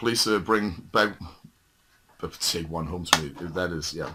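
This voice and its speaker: A man with a Danish accent, fairly low pitch, ordinary pitch variation and moderate pace, in a very clean recording with a silent background. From Denmark. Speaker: metal music collector, video host. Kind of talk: casual show-and-tell video. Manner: halting, many fillers.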